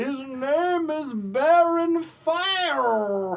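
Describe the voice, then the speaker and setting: A put-on character voice, high in pitch. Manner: mouth covered, words blocked.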